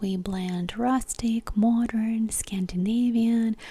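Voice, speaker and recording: At a very slow pace, a soft-spoken voice whispers. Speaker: ASMR creator. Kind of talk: ASMR soft-spoken magazine talk. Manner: soft-spoken, whispered, slow.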